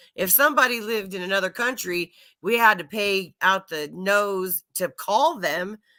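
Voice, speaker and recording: A woman's medium-pitched voice with an American accent, bright and sharp in tone, ordinary pitch variation and a moderate pace, on a very clean recording with a silent background. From Oklahoma, US. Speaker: streamer, panel host. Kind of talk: casual chat. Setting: live stream. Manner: slurred words.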